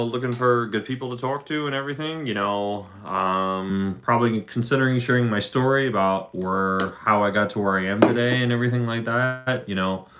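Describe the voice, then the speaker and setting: A man with a Philadelphia accent speaks at a fairly quick pace in a medium-pitched voice. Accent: Philadelphia American. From Philadelphia, Pennsylvania, US. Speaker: livestreamer, factory worker. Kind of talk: casual livestream chat. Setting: livestream on camera. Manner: fast.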